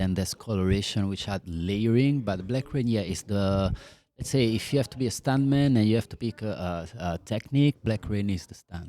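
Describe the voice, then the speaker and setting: With an Italian accent, a man talks at a moderate pace in a fairly low, dark and mellow voice with ordinary pitch variation, recorded very cleanly against a silent background. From Italy. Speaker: scalp micropigmentation artist. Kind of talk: podcast interview. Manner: animated.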